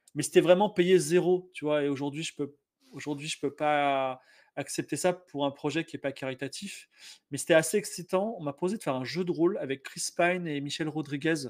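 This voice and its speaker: A man speaks in an ordinary speaking voice, fairly high in pitch, at a moderate pace with ordinary pitch variation. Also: very clean recording, silent background. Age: 40s. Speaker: game master and game designer. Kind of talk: casual chat.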